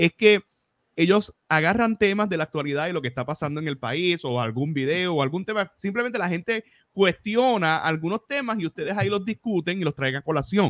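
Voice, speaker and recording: With a Puerto Rican accent, a man speaks fairly quickly in a high pitch and lively intonation, his dry sound carrying no echo over a quiet background. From Puerto Rico. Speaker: podcast host; podcast host interviewer. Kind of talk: casual interview. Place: home room. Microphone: studio mic.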